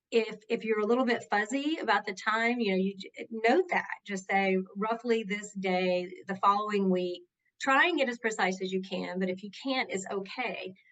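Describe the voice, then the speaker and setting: This woman has a Southern US accent and a medium pitch. She speaks at a moderate pace with ordinary pitch variation. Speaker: workplace justice advocate. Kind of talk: interview. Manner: conversational.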